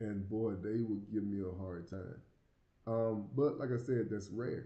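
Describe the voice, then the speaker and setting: A man talks at a fairly slow pace. The room gives off an audible echo. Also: ordinary pitch variation. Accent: American. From US South, small community. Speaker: YouTuber living abroad. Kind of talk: casual Q&A monologue. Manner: halting, with repeated words.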